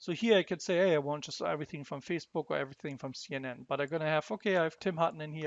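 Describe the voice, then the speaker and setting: A man with a German accent talks at a very fast pace, his pitch varying in an ordinary way. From Germany. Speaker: software demo presenter. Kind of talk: tutorial. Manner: halting, repeats words.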